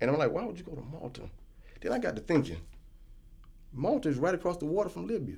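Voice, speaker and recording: Speaking very fast with long, frequent pauses, a man uses a fairly high pitch, very wide pitch swings and vocal fry. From United States. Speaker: traveler back from West Africa. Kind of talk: casual discussion. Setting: studio.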